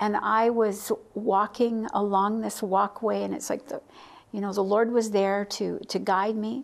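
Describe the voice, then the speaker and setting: Fairly even intonation carries a woman's speech at a fairly slow pace. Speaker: interview guest. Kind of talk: interview answer, personal testimony. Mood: warm, smiling, reflective. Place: studio. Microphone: lapel.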